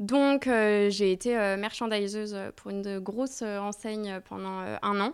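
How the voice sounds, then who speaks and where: A woman speaks in a plain, everyday voice at medium pitch with fairly even intonation. The recording is very clean, with a silent background. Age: 30s. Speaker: agency co-founder and talent manager. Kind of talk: casual interview.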